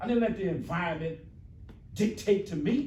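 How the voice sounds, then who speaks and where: A man speaks in an animated tone at a moderate pace. Audible room echo surrounds the voice. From New Jersey, US. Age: 60s. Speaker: motivational speaker. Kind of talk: motivational talk to students.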